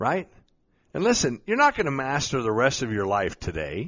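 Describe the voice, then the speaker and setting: The voice sounds animated, with vocal fry running through it. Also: man. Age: 50s. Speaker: podcast host, mindset coach. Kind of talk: motivational talk.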